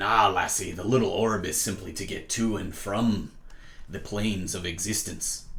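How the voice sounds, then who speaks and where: In a put-on character voice, a man speaks at a moderate pace and a fairly low pitch over clear background noise. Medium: actual play. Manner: hearty, roguish, dotted with "aye" and "lassie".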